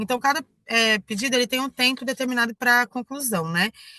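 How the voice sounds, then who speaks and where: A raised, projected voice with a bright, sharp tone moves at a fairly quick pace with ordinary pitch variation. The sound is dry and close with no echo against a quiet background. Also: woman. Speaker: online trainer. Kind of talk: tutorial. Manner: halting, many fillers and self-corrections.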